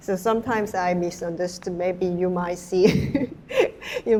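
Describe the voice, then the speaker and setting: Speaking at a fairly slow pace with a Korean accent, a woman uses a medium pitch and ordinary pitch variation over noticeable background noise. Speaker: artist and hair stylist. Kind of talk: panel discussion Q&A. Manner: halting.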